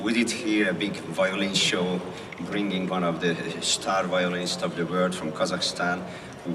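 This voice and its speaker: Against noticeable background noise and audible room echo, a man with a Hungarian accent and very deep, low pitch speaks at a moderate pace in a monotone, flat way. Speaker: symphony conductor. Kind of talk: speech to an outdoor concert audience.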